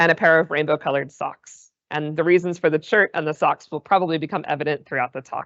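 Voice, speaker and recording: In an American accent, the speaker talks at a very fast pace with fairly even intonation and hardly any pauses. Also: woman, very deep, low pitch for a woman. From US, Massachusetts (west of Boston). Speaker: plant biologist, research group leader. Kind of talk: seminar lecture. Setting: lecture room with online audience.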